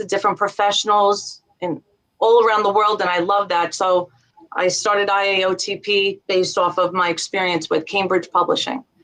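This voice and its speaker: A woman with a Long Island accent, medium pitch and a moderate pace. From Long Island, New York. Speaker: business founder, former legal worker. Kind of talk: interview answer.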